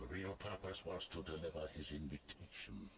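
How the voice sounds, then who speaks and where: A man in a put-on character voice, very deep and low in pitch, over clear background noise. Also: moderate pace. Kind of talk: archaic formal speech. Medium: video game. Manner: formal, grave, imperious.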